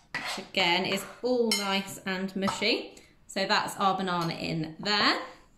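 A woman talks here. Behind her is noticeable noise. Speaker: presenter. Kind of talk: tutorial. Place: kitchen. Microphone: phone near.

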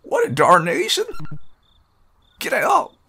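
A man puts on a character voice. It comes out gruff. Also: extremely high pitch for a man. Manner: angry, shouting.

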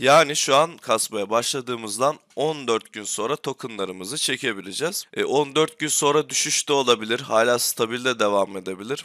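On a very clean recording with a silent background, a man talks at a moderate pace in a bright, sharp tone of medium pitch, with ordinary pitch variation and big swings in loudness. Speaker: gaming YouTuber. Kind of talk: tutorial. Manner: hesitant, frequent filler sounds.

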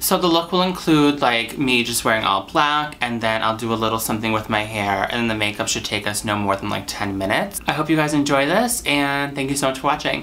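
A man at a fairly quick pace, lively in intonation, over light background noise. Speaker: makeup tutorial creator. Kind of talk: casual vlog chat. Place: home room.

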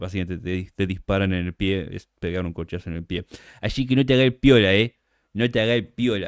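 A man speaks with an animated tone at a fairly low pitch. His pitch varies in an ordinary way. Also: fairly quick pace. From Argentina, Buenos Aires. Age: 40s. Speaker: content creator. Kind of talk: casual chat. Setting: livestream.

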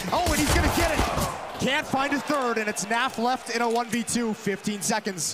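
A man with an extremely high pitch, ordinary pitch variation, very even loudness and hardly any pauses, with music in the background. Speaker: esports caster, analyst. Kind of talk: live esports commentary. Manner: analytical, quick-paced.

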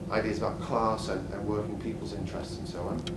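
Loud background noise runs behind the voice. A man talks at a very fast pace. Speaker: guest. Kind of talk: formal introduction to an audience. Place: hall.

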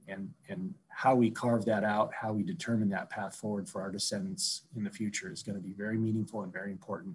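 A man with an American accent speaks at a fairly quick pace in a fairly low, somewhat breathy voice with lively intonation over light background noise. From Alaska. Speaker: Alaska Native corporation CEO; panelist. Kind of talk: panel discussion. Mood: warm, reflective. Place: home room. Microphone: video call.

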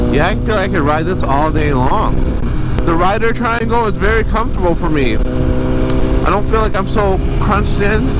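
Speech at a moderate pace comes through loud background noise, with a dry sound and no echo. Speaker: motovlogger rider. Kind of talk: casual vlog chat. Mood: enthusiastic about the bike. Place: motorbike.

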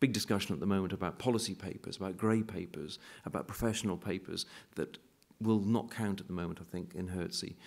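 Someone with a British accent talks very fast, with ordinary pitch variation. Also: man. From UK. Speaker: university executive and painter; keynote speaker. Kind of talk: keynote lecture. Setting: stage with audience. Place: hall. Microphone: podium.

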